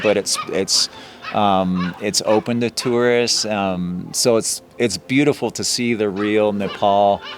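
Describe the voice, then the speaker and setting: Speaking at a very slow pace with fairly even intonation, a man with an American accent has a medium-pitched voice over noticeable background noise. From United States. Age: 50s. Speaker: trekking guide. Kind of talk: casual interview.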